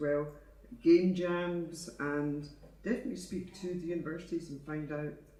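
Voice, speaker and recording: A man with a Scottish accent and a dark, mellow tone, at a moderate pace with fairly even intonation, in audible room echo. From Scotland. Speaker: audience member. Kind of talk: conference Q&A.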